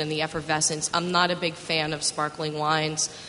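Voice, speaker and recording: With an American accent, a woman speaks in a very deep, low pitch over noticeable background noise. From New York, Westchester County. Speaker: wine magazine tasting director. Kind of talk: panel discussion.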